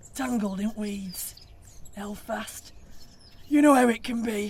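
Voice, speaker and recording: A woman puts on a raspy character voice at a fairly high pitch, speaking at a fairly slow pace with ordinary pitch variation. Background noise is clearly audible. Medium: audio drama.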